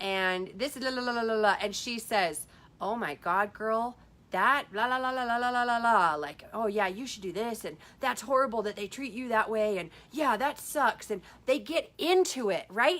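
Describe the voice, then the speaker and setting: In a very clean recording with a silent background, a woman speaks at a fairly high pitch with lively intonation. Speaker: life coach livestreamer. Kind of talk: Facebook live talk. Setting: Facebook live video. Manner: fast.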